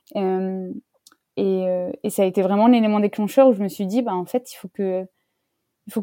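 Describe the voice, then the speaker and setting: A woman speaks at a moderate pace with fairly even intonation. The sound is dry and close, with no echo. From France, countryside. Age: 30s. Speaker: interviewee on career change. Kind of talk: interview testimony. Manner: hesitant with many fillers.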